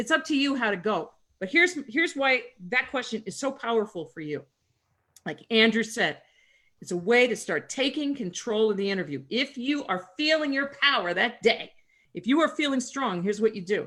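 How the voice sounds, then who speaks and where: A woman's fairly high, bright and sharp voice with very wide pitch swings at a moderate pace, on a very clean recording with a silent background. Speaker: career advisor. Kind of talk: Q&A seminar. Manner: loud and theatrical.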